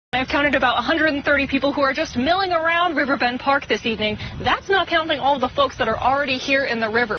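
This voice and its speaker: A woman's high voice at a very fast pace, with very even loudness and hardly any pauses, over noticeable background noise. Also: ordinary pitch variation. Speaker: multimedia journalist, news anchor and weather forecaster. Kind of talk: TV news anchor and field reporting.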